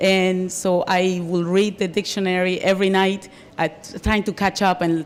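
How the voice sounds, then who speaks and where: This woman has a medium-pitched voice and a Colombian accent. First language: Spanish. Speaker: Spanish teacher and union leader. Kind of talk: interview.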